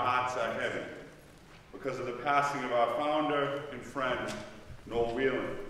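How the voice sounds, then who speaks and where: A man at a fairly slow pace, with light background noise and strong room echo. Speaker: event host. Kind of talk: opening speech. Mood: warm, then somber tribute. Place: hall. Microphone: podium.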